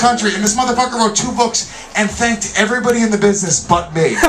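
Over noticeable background noise, a man speaks at a very fast pace and an extremely high pitch with fairly even intonation. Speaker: stand-up comedian. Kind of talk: comedy roast set. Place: stage.

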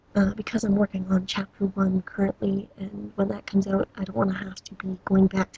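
At a fairly quick pace, a woman of medium pitch speaks in a somewhat breathy voice with monotone, flat intonation, in a dry, close sound with no echo. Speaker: game developer making walkthrough video. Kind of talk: casual explanatory video intro. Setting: at home, late at night. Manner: halting, with fillers; soft-spoken. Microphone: laptop microphone, bad quality.

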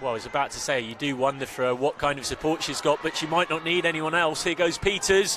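A man rattles along at a very fast pace, fairly high in pitch with ordinary pitch variation, against noticeable background noise. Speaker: football commentator.

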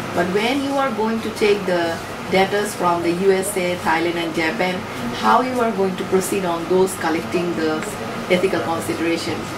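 Over loud background noise, the speaker keeps a moderate pace. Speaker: PhD student in end-of-life care. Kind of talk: academic Q&A. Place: meeting room. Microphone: podium.

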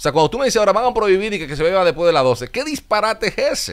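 This man's voice is high-pitched and his pace is very fast. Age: 30s. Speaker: TV and radio host; radio guest. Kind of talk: interview. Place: studio. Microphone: studio mic.

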